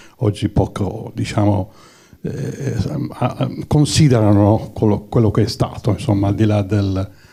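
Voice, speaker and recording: Noticeable background noise sits behind a man speaking at a fairly slow pace. His voice is fairly low, with ordinary pitch variation. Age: 70s. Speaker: audience member at screening Q&A. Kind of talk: audience question at film discussion. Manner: halting, many repetitions.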